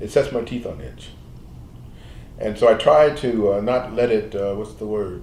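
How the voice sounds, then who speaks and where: Amid audible room echo, a man with vocal fry speaks at medium pitch and a moderate pace, with ordinary pitch variation and long, frequent pauses. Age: 70s. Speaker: medical doctor. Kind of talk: interview. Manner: halting.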